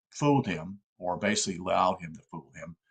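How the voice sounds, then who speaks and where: A man speaks with an American accent. His pace is moderate and his pitch varies in an ordinary way. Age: 60s. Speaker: political commentator. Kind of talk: live-stream talk. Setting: live stream. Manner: halting.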